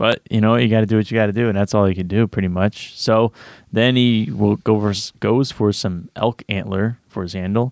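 A man with an ordinary speaking voice talks at a fairly quick pace and fairly low pitch, his intonation fairly even, in a dry, close sound with no echo and a quiet background. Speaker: podcast co-host. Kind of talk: casual chat.

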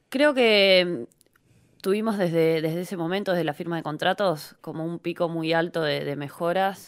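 A woman speaks in an ordinary speaking voice, fairly low in pitch with ordinary pitch variation, at a fairly slow pace. The recording is very clean, with a silent background. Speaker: professional footballer. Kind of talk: interview.

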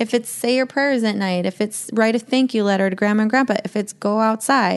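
Speaking with an American accent, a woman uses a plain, everyday voice at a moderate pace, her pitch fairly high with ordinary pitch variation. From Montana (Glacier National Park). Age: 40s. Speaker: fishing guide and shop owner. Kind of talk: casual chat. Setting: in person at guest's home.

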